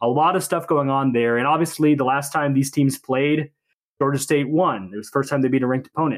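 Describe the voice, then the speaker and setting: The man talks at a very fast pace. His pitch is fairly high, with fairly even intonation. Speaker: podcast co-host. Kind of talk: casual sports podcast discussion.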